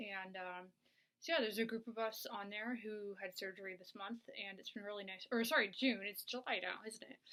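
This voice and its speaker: A woman talks at a fairly quick pace with fairly even intonation. She has an ordinary speaking voice. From Canada. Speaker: video blogger.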